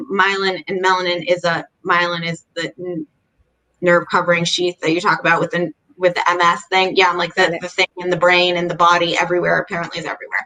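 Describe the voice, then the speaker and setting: At a very fast pace, a woman speaks in a bright, sharp tone with monotone, flat intonation and a dry, close sound with no echo. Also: fairly low pitch for a woman. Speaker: chronic illness advocate and blogger. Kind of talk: casual interview chat. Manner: halting, self-correcting.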